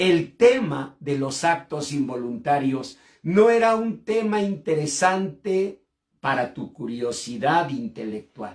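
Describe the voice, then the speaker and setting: A man's pitch swings very widely as he talks at a very slow tempo. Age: 60s. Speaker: pastor and clinical psychologist. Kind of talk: sermon. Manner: impassioned.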